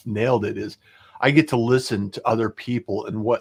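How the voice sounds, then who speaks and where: A man with a normal speaking voice talks at a medium pitch and a moderate pace. The sound is dry and close with no echo, on a very clean recording with a silent background. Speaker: podcast host. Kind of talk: livestream podcast interview hosting.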